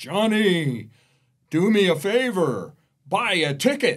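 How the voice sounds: Using a put-on character voice, a man speaks high and at a fairly slow pace.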